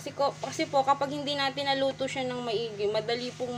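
Noticeable background noise surrounds a woman's voice. Her pitch is fairly high, with ordinary variation. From Philippines. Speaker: home cook vlogger. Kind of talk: cooking tutorial. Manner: polite, uses po throughout. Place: kitchen. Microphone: phone near.

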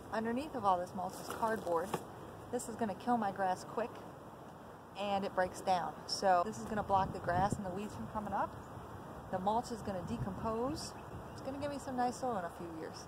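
Over noticeable background noise, a woman speaks at a fairly quick pace with ordinary pitch variation. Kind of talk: casual vlog tutorial. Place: garden. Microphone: phone near.

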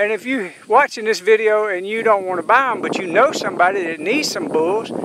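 A man with a high pitch and fairly bright tone, at a moderate pace with ordinary pitch variation

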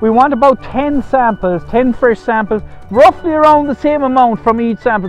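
Over faint background music, a man speaks at a moderate pace with ordinary pitch variation, the sound dry with no echo. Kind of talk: tutorial. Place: farm machine.

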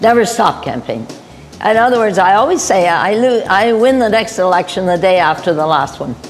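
A woman with a Canadian accent talks at a fairly quick pace and a medium pitch, with music playing in the background. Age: 80s+. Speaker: mayor. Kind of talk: interview answer.

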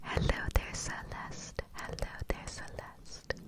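A woman is speaking. Loud noise fills the background. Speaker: ASMR creator. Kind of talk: soft ASMR name repetition. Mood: warm, affectionate. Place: home room. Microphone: studio mic.

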